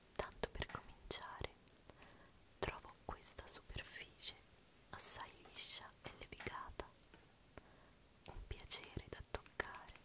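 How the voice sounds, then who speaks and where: Whispering in a relaxed tone, a woman speaks at a very slow pace with long, frequent pauses. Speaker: ASMR creator. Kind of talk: ASMR show and tell, soft-spoken talk to camera. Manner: soft-spoken, slow, relaxed. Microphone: studio mic.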